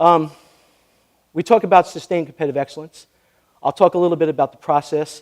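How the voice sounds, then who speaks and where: Fairly high-pitched for a man, he speaks very fast with a New York accent and fairly even intonation, yet leaves long, frequent pauses. The sound is dry and close, with no echo. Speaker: sports administrator and keynote speaker. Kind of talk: interview; keynote speech.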